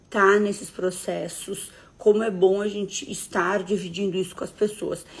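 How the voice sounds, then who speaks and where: This woman's voice is somewhat breathy and sits at a medium pitch. Her pace is fairly slow and her intonation monotone and flat. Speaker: therapist or coach hosting a live stream. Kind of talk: live stream talk to viewers.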